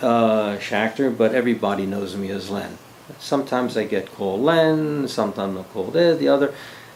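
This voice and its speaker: Lively intonation marks this speech in an American accent at a moderate pace. Noticeable background noise can be heard. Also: man. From US Northeast, Philadelphia. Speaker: army veteran and retired teacher. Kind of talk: oral history interview. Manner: halting, with many fillers.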